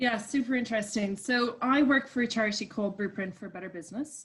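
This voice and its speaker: A woman speaks with an Irish accent. Her pitch varies in an ordinary way. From Ireland. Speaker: coach at a business charity. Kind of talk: interview.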